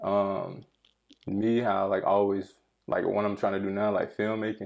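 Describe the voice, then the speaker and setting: Fairly low in pitch, a man speaks at a moderate pace with monotone, flat intonation. His loudness stays very even. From North Carolina, Gaston. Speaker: artist and filmmaker, navy veteran. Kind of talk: casual chat.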